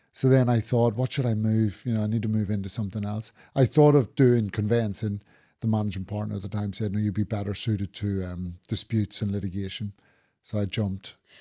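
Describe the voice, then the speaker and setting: With a Northern Irish accent, a man speaks at a fairly quick pace in a fairly low pitch, his tone dark and mellow and his intonation fairly even, on a very clean recording with a silent background. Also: dry, close sound with no echo. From Northern Ireland. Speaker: property litigation lawyer. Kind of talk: podcast interview.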